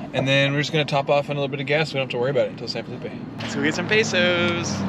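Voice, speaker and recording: Talking at a very fast pace, a man shows ordinary pitch variation. The sound is dry with no echo, and background noise is noticeable. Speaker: travel vlogger driving. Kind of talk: casual vlog chat. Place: car. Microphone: phone near.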